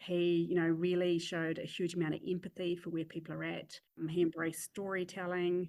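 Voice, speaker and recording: A woman with a fairly low pitch speaks in a New Zealand accent. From New Zealand (Christchurch). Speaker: chief executive and crisis leadership expert. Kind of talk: podcast interview.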